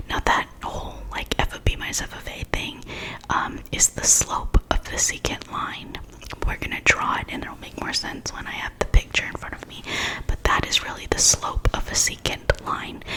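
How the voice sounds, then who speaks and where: A woman whispers with big swings in loudness over noticeable background noise. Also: moderate pace. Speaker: ASMR math tutor. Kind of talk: ASMR math lesson.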